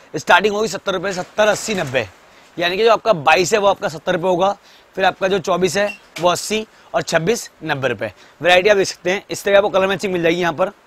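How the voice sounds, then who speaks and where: This man's voice sits high for a man, moves at a fairly quick pace with ordinary pitch variation, and sounds dry with no echo. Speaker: shop tour vlogger. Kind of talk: product presentation vlog. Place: shop.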